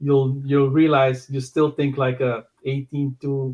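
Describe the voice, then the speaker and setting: A man talks at a fairly slow pace. His medium-pitched voice is somewhat breathy. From Suriname. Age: 50s. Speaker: podcast guest. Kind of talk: casual interview.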